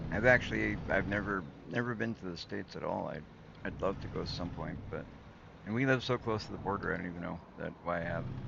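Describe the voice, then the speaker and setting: Vocal fry runs through the voice. The pace is very fast. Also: man, fairly low pitch for a man, ordinary pitch variation. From Canada (southern Manitoba). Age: 40s. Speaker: gaming streamer. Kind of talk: casual chat. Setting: livestream. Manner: halting.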